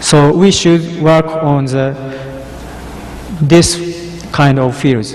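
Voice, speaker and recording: A man with a Japanese accent speaks very slowly in a fairly high pitch with ordinary pitch variation. Noticeable background noise and audible room echo fill the recording. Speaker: cryptography researcher. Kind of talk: conference talk. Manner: halting.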